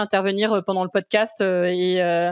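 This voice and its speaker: Her sound dry and close with no echo, a woman speaks in a flat monotone at medium pitch and a moderate pace. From France, Brittany. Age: 40s. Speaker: corporate lawyer and film critic. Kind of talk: interview podcast. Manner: hesitant, many fillers.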